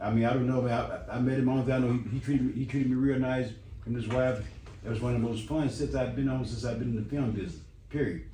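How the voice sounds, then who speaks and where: Talking at a very fast pace, a man with a medium pitch and fairly even intonation is heard over noticeable background noise and audible room echo. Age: 70s. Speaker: actor, father of a rapper. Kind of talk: radio interview. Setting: radio studio. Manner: halting, repetitive.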